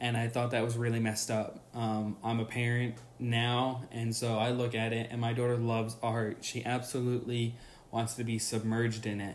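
There's audible room echo around a man speaking at a moderate pace. His intonation is monotone and flat, and his loudness stays very even. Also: medium pitch for a man. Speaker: podcast host. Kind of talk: solo podcast monologue.

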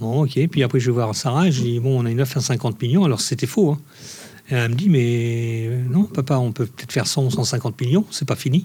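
A man speaks with an ordinary speaking voice at medium pitch. His pace is fairly quick, with ordinary pitch variation. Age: 50s. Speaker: ice cream maker and business owner. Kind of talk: interview.

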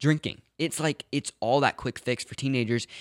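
A man's plain, everyday voice, medium pitch and ordinary pitch variation, dry, close sound with no echo, very clean recording with a silent background. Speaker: podcast co-host. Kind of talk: casual chat.

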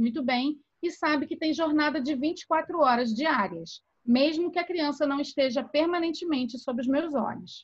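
A woman's high voice shows ordinary pitch variation as she talks at a moderate pace. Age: 40s. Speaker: podcast co-host. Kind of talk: reading aloud own essay; casual chat. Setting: video call.

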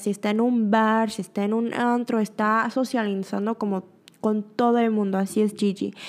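A woman speaks at a fairly high pitch and a fairly slow pace. Her intonation stays fairly even. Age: 20s. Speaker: podcast host. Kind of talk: casual monologue. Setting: studio.

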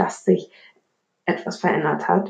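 The woman talks at a fairly slow pace. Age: 20s. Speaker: podcast host. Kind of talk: solo monologue podcast. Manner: casual, many filler words.

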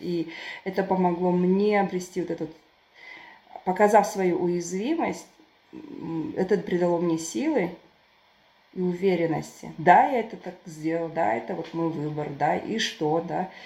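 A woman speaks at a fairly slow pace in a fairly low pitch, with ordinary pitch variation and long, frequent pauses. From southern Kazakhstan, Turkestan. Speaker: writer and volunteer. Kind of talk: casual chat. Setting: online call.

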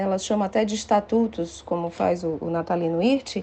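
A woman against a quiet background. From Brazil, Ceará (Fortaleza). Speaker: law professor. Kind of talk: interview.

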